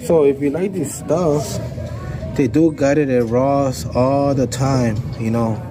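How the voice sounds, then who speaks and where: Over noticeable background noise and audible room echo, a man of medium pitch speaks with ordinary pitch variation. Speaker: shopping vlogger. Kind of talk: casual shop-along vlog.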